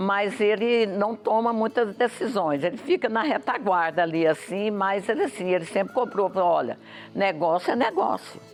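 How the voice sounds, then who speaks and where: Her loudness stays very even as a woman speaks at a moderate pace with a medium pitch and lively intonation. Noticeable background noise can be heard. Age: 70s. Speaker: farm tourism entrepreneur. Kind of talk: interview. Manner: halting, many repetitions.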